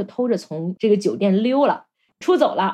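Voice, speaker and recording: Her dark, mellow tone sitting at a fairly high pitch, a woman moves quickly through her words with very wide pitch swings. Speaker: podcast host. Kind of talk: casual chat.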